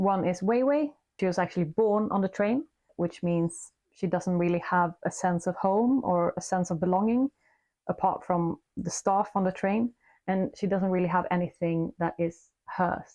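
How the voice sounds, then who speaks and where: Woman with a Swedish accent, medium pitch and a dark, mellow tone, moderate pace, ordinary pitch variation and very even loudness, in a dry, close sound with no echo on a very clean recording with a silent background. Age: middle-aged. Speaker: book reviewer. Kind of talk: casual book review vlog.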